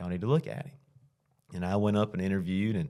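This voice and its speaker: A man with a Southern US accent speaks on a very clean recording against a silent background. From Alabama (south). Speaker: high school football coach. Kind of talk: interview. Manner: conversational, with frequent fillers.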